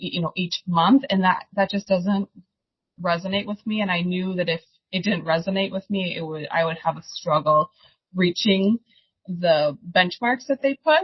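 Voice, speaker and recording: With a strong Upper Midwest accent, a woman speaks at a moderate pace and medium pitch, somewhat breathy, with ordinary pitch variation. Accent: Upper Midwest, thick. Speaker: insurance agency owner. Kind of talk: podcast interview.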